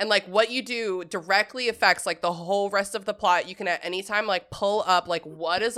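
At a medium pitch, a woman speaks in an animated, bright, sharp tone. She goes at a fairly quick pace with hardly any pauses. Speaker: podcast host, guest. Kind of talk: casual chat.

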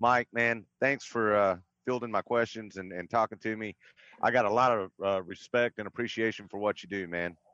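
A man with a Southern US accent speaks with fairly even intonation. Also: fairly low pitch for a man, moderate pace, big swings in loudness. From Texas. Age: 50s. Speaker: livestream panelist. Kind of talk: casual chat. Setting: in a car.

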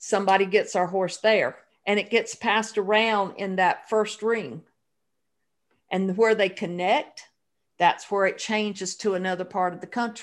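On a very clean recording with a silent background, a woman with a Southern US accent speaks at a moderate pace and medium pitch, her intonation fairly even. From North Carolina. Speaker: nonprofit founder, horse theft advocate. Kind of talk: interview.

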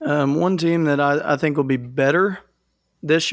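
In a Texan accent, the speaker talks at a moderate pace with fairly even intonation. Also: man. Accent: Texan Southern US. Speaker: sports podcast co-host. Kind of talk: casual chat.

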